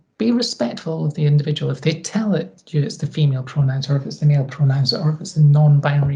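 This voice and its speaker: Her pitch is very deep and low. The woman speaks with a Scottish accent. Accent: Scottish twang. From Scotland. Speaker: equality and inclusion advisor. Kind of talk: interview.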